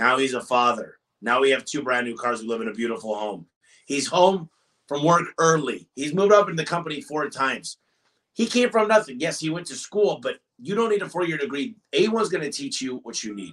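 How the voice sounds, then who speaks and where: A loud man with an American accent, fairly high-pitched, talking at a fairly quick pace with very wide pitch swings. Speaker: business owner. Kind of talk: interview. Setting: in person at an office.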